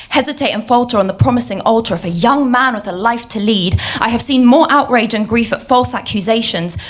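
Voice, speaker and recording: Noticeable background noise sits under a woman's fairly high voice. She talks at a very fast pace with ordinary pitch variation. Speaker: spoken word poet. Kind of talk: spoken word poetry performance. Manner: rhythmic.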